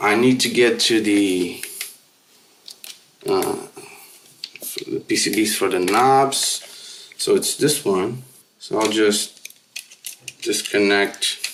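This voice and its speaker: Speaking at a very slow pace, a man leaves long, frequent pauses. Noticeable background noise runs underneath. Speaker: music gear youtuber. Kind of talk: hands-on tutorial. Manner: mumbling at times; casual, rambling.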